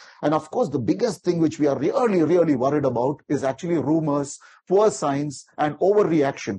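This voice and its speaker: A man's dark, mellow, somewhat breathy voice with lively intonation at a very fast pace. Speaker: vaccine safety expert. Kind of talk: lecture. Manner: fast talker; animated. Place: hall.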